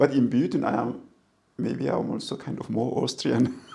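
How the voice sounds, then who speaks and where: Delivered at a moderate pace, the speech comes with an Ethiopian accent. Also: man. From Ethiopia, Kambata region. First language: Kambata. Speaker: professor of international relations. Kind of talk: interview. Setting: in person over coffee. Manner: halting.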